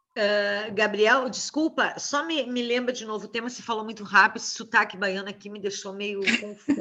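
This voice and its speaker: Over noticeable background noise, a woman with a southern Brazilian accent speaks at a fairly high pitch, with hardly any pauses and big swings in loudness. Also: fairly even intonation, fairly quick pace. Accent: gaúcho Brazilian Portuguese. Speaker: university professor. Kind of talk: lecture Q&A.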